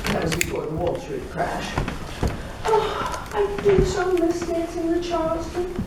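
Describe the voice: Putting on a character voice in a British accent, a woman speaks at an extremely high pitch with very wide pitch swings and a fairly slow pace, with clear background noise and audible room echo.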